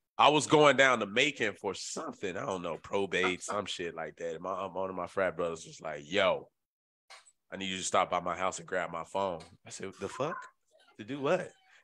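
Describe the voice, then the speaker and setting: An animated man with a Memphis accent speaks at a moderate pace in a very deep, low voice, his intonation lively and his loudness swinging widely. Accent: Southern US, Memphis. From Memphis, Tennessee. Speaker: podcast host. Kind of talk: casual banter podcast chat. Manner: loud, profane, animated.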